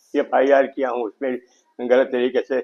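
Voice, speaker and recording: The man talks at a moderate pace, his voice pitched in the medium range. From Gonda district, Uttar Pradesh, India. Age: 70s. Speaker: elderly villager with land dispute complaint. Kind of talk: news interview testimony. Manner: halting.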